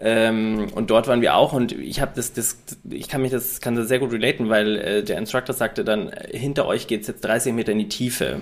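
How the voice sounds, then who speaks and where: With a normal speaking voice, a man talks at a medium pitch and a moderate pace, his pitch varying in an ordinary way. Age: 30s. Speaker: podcast co-host and fitness coach. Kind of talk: casual chat.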